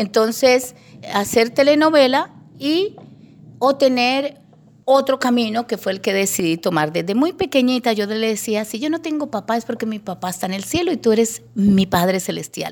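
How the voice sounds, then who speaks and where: Using a plain, everyday voice, a woman speaks at a moderate pace with a fairly high pitch and lively intonation. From Colombia, Bogotá and Llanos Orientales. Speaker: radio broadcaster. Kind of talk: testimony interview.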